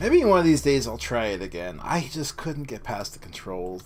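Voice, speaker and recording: A man's pitch swings very widely. Behind him, music plays. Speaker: gaming streamer. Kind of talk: live gaming stream chat.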